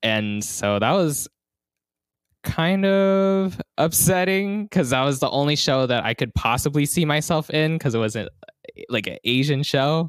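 An ordinary speaking voice with an American accent, lively intonation and a fairly slow pace, in a dry, close sound with no echo. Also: man, fairly high pitch for a man. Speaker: podcast co-host. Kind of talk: casual chat.

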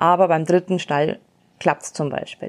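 Here is a woman with a normal speaking voice, fairly low in pitch. She talks at a fairly slow pace on a very clean recording with a silent background. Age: 30s. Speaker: podcast host. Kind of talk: motivational monologue. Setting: outdoors on horseback.

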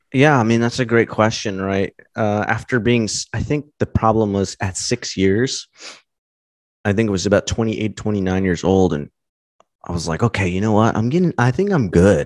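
Using a normal speaking voice with an American accent, a man talks at a moderate pace and a fairly low pitch with ordinary pitch variation, in a dry, close sound with no echo and a quiet background. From US West Coast, Los Angeles County, California. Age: 30s. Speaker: engineer and YouTuber in recovery from alcohol. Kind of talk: casual interview.

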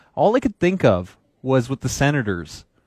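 On a very clean recording with a silent background, a man with a Canadian accent talks at a fairly slow pace, with lively intonation and an animated tone. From Canada, East Vancouver. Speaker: sports radio co-host. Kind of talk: casual sports talk radio.

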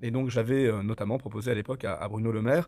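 On a very clean recording with a silent background, a man with a dark, mellow tone talks at a very fast pace in a medium pitch. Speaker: mayor and regional politician. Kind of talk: interview.

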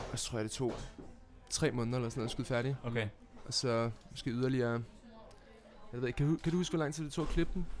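With music in the background, a man of medium pitch speaks at a very fast pace with ordinary pitch variation and long, frequent pauses. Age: young. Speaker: film director and actor. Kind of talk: casual chat. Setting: studio.

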